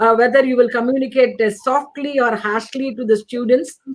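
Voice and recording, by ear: A woman at a fairly high pitch, moderate pace and fairly even intonation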